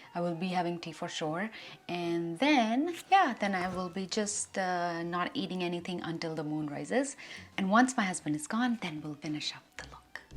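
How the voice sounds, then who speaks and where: In a normal speaking voice, a woman talks at a moderate pace and a fairly low pitch, with ordinary pitch variation and big swings in loudness. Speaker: beauty vlogger. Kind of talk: makeup tutorial vlog. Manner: casual, chatty.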